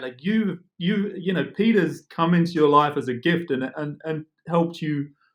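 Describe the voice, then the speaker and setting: A man with an English accent talks at a moderate pace in a high pitch, with ordinary pitch variation. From England. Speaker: real estate agent. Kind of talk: casual chat.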